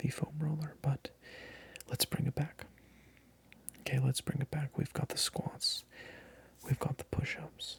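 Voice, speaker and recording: A soft-spoken man talks at a fairly high pitch, somewhat breathy and monotone, with flat intonation. His pace is fairly slow, with long, frequent pauses. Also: dry, close sound with no echo. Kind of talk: ASMR role play as a personal trainer, casual talk to camera.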